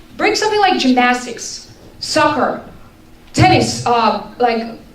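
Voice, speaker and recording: Very slow speech with very wide pitch swings, set against noticeable background noise and audible room echo. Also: woman, high pitch for a woman. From Bulgaria. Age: 20s. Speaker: resident speaking at public forum. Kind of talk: public comment. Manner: halting.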